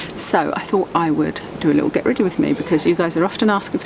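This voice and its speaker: Soft-spoken and with an English accent, a woman talks at a fairly quick pace with a very deep, low pitch and ordinary pitch variation over noticeable background noise. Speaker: beauty vlogger. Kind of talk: casual chat. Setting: outdoors.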